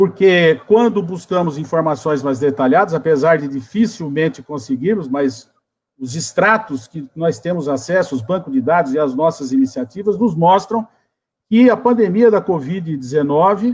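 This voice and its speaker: At a moderate pace, a man with an ordinary speaking voice and a fairly high pitch speaks with lively intonation. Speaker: geography professor, debate moderator. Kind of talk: academic webinar introduction.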